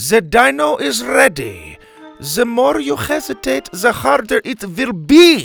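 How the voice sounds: Over faint music in the background, a man does a put-on character voice pitched extremely high, with vocal fry, a fairly bright tone, very wide pitch swings and a slow pace.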